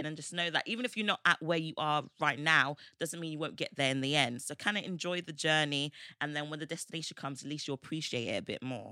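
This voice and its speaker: A woman with a British accent speaks at a very fast pace in a very deep, low pitch with a bright, sharp tone and ordinary pitch variation. The recording is very clean with a silent background, the sound dry and close with no echo. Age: 20s. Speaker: podcast co-host. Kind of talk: casual chat.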